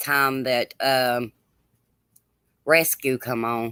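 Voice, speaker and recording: The speaker has a Southern US accent. The recording is very clean, with a silent background. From US South, Georgia (Gwinnett County). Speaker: livestream host. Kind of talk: casual chat. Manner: loud. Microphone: too quiet.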